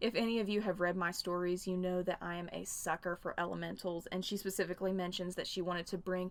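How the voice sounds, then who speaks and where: The speaker is a woman with a Southern US accent and a medium pitch. The recording is very clean, with a silent background. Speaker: fan fiction reviewer, YouTuber. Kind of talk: casual video review.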